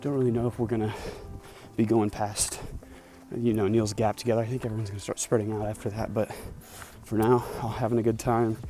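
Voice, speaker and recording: A man's medium-pitched voice at a very fast pace. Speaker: thru-hiker vlogger. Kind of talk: hiking vlog, casual narration. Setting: outdoors on hiking trail. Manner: hesitant, filler words.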